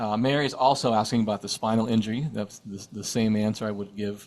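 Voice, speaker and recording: Using an ordinary speaking voice, a man talks at a fairly quick pace with fairly even intonation. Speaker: sound healing teacher. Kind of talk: live online workshop Q&A. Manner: casual, with many fillers and repetitions.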